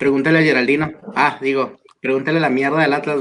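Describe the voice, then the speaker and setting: Speaking very fast, a man with a northern Mexican accent keeps his intonation fairly even. His pitch is fairly high. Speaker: football podcast panelist. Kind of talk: casual chat.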